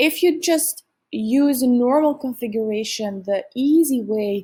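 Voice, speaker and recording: A woman's high, dark, mellow voice with a non-native accent and ordinary pitch variation, on a very clean recording with a silent background. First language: not English. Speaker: software tutorial presenter. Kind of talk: software tutorial narration.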